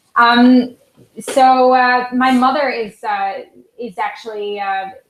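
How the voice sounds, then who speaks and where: In a Swiss German accent, a woman speaks very slowly at a high pitch with fairly even intonation. Her loudness swings widely. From Switzerland. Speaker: concert pianist. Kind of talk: interview. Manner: halting.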